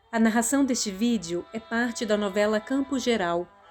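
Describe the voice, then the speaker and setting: Music plays in the background as someone speaks at a fairly slow pace. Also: woman. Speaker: audiobook narrator. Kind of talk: literary audiobook narration. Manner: expressive, character-differentiating.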